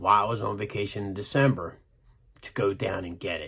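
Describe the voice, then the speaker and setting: In a very clean recording with a silent background, a man speaks at a fairly low pitch in a bright, sharp tone with ordinary pitch variation. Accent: Pennsylvania. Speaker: motorcycle vlogger. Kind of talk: casual vlog talk. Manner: animated.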